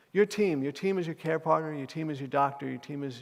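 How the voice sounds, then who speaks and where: Speech from this man rushes by at a very fast pace. It's a very clean recording with a silent background. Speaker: keynote speaker with Parkinson's. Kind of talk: keynote talk. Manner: halting, frequent repetitions; loud.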